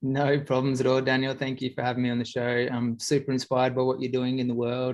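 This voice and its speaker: Medium-pitched male speech with an Australian accent. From far north Queensland, Australia. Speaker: interview guest. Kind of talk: interview.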